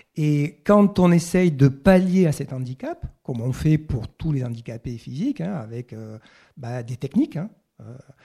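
A man speaks at a fairly slow pace with a fairly high pitch and lively intonation. His voice is somewhat breathy, with a dark, mellow tone. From southwest France (Occitanie). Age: 60s. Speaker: professor of sports ethics, author. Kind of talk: talk at bookshop event. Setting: bookshop with live audience.

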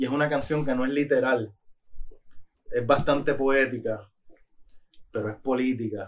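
Speaking at a fairly slow pace, a man keeps a fairly even intonation and takes long, frequent pauses. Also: medium pitch for a man. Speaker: rapper. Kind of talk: casual chat. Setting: studio.

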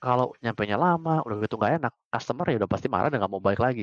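The sound is dry and close with no echo as a man talks at a very fast pace in a medium pitch with ordinary pitch variation. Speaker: startup founder and CEO. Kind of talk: casual interview.

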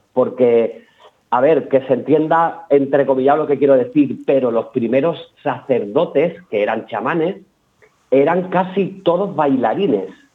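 The intonation is lively. The pace is fairly slow. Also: man. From Peñarroya-Pueblonuevo, Córdoba, Spain. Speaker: flamenco dancer and choreographer. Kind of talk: radio interview.

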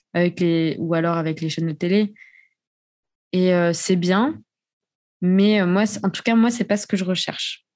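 A woman speaks at a medium pitch with ordinary pitch variation at a fairly slow pace. Long, frequent pauses occur against a quiet background. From raised abroad as French expat (Austria, Japan). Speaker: podcaster. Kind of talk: casual chat. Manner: talks a lot when passionate.

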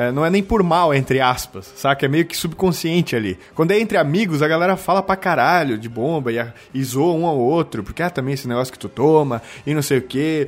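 A normal speaking voice moving at a fairly quick pace with lively intonation. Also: man, fairly high pitch for a man. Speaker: podcast host. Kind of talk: casual chat.

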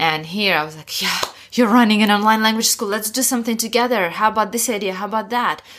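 Spoken with a Russian accent, the words come at a very fast pace in fairly even intonation. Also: woman. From Russia, Sakhalin Island. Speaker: education entrepreneur. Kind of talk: interview conversation.

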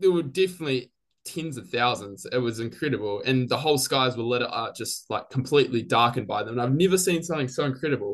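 A man with a New Zealand accent, medium pitch and ordinary pitch variation, talking very fast with hardly any pauses. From New Zealand, Christchurch. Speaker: biology graduate. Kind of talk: interview.

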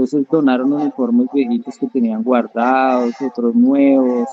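His intonation is lively. This man speaks fairly slowly. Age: 20s. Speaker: judo and jiu-jitsu coach and athlete. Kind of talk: interview.

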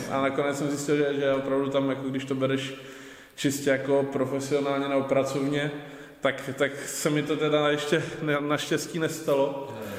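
Noticeable background noise and audible room echo accompany this man. His pitch is fairly high and his intonation monotone and flat. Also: moderate pace. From Czechia, Ostrava. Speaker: local politician. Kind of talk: casual interview. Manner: hesitant, with fillers and repetitions.

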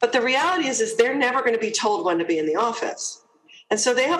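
A woman with an American accent speaks at a high pitch with very wide pitch swings. Noticeable background noise and audible room echo surround her. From US, New Jersey. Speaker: HR executive. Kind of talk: interview.

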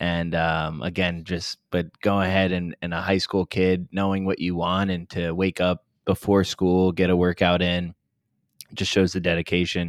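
A very deep, low-pitched man's voice at a moderate pace with monotone, flat intonation and a dry, close sound with no echo. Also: very clean recording, silent background. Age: 20s. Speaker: fitness coach. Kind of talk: casual chat.

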